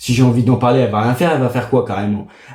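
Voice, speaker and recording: At a very fast pace, a man with a dark, mellow, somewhat breathy tone speaks at medium pitch with fairly even intonation, and audible room echo fills the space. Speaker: gaming streamer. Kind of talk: casual gaming vlog monologue.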